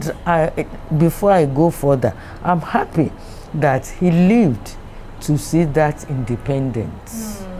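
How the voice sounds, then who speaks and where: Noticeable background noise sits behind a woman speaking very slowly at a very deep, low pitch. Her intonation is lively, and her loudness stays very even. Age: 80s+. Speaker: retired company managing director. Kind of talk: interview answer.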